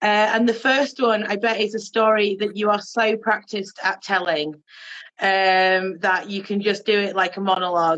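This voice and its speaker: A woman speaks with a Yorkshire accent. Her pace is moderate. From Yorkshire, Bradford. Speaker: bi activist, organisation founder. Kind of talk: casual chat.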